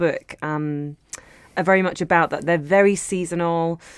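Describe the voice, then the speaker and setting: A woman speaks with a London accent. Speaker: cookbook author and cook. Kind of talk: casual interview chat.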